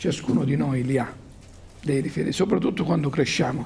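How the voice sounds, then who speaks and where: A man speaks with vocal fry. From Calabria, Decollatura area; Calabria. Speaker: university professor and club president; university professor. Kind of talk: lecture to students. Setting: school conference hall with audience. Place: hall. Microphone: handheld.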